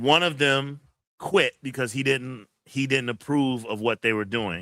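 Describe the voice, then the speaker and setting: The man's voice has a bright, sharp tone, captured in a very clean recording with a silent background. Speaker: livestream host, kung fu channel. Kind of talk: casual livestream chat reading viewer comments.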